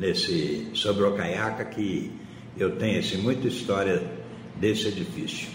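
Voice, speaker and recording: The clip has audible room echo and noticeable background noise. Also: man. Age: 80s+. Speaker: businessman and building manager. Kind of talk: interview.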